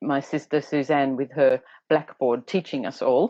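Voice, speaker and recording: With an Australian accent, a woman speaks in a very deep, low pitch. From Australia, Tasmania northwest coast. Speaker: educator and teacher trainer. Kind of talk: interview. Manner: hesitant, many fillers.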